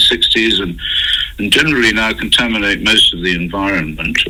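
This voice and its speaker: Noticeable background noise sits behind a man who speaks at a fairly quick pace with an English accent. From England. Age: 70s. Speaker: scientist. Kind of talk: interview. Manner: halting.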